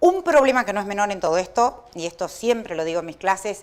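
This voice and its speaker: The speaker is a woman with lively intonation. She talks at a fairly quick pace. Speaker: law professor. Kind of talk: lecture. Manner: fast.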